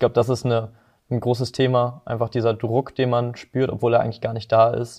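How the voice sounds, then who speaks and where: A man talks at a fairly quick pace in a monotone, flat intonation against a quiet background. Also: medium pitch for a man. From northern Germany, Hamburg and Lower Saxony. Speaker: work-study business student. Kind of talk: podcast interview.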